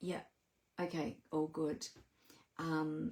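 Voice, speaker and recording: A woman talks with an Australian accent. Her voice is somewhat breathy. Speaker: papercraft demonstrator. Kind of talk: casual live stream talk to camera.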